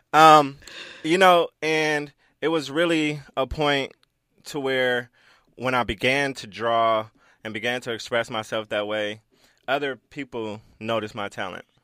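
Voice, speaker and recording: Long, frequent pauses break up a man's speech in an American accent, with big swings in loudness and a bright, sharp tone. The recording is very clean with a silent background, dry and close with no echo. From South Central Los Angeles. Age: 30s. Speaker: graphic designer and creative director. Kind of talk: casual interview. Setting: radio studio.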